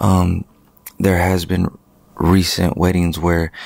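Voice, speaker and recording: Very deep and low, a man's voice comes quietly at a fairly slow pace. His intonation is flat and monotone, and the sound is dry with no echo. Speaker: wedding photographer and videographer, business owner. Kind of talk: casual vlog monologue. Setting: at home late at night. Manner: quiet, keeping voice low. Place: home room. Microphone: handheld.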